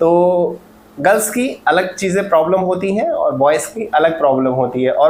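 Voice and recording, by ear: Audible room echo surrounds a man's high-pitched voice with a slightly mellow tone.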